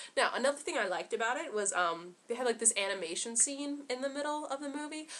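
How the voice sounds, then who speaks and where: A woman talks at a very fast pace with a high pitch. Her intonation is lively. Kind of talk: casual movie review to camera. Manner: casual, chatty, filler-heavy.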